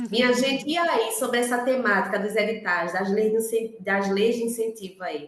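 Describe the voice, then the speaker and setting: Over noticeable background noise and audible room echo, a woman speaks in a fairly high voice with ordinary pitch variation. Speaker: workshop facilitator. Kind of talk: workshop moderation. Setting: online video meeting.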